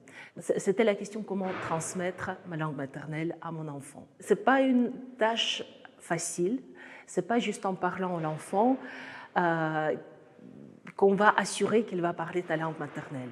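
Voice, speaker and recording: A woman at medium pitch talks at a fairly slow pace with lively intonation. Her long, frequent pauses and big swings in loudness stand out. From Russia, Saratov on the Volga. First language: Russian (speaking French). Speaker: author and artist. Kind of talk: book presentation talk. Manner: halting with many hesitations.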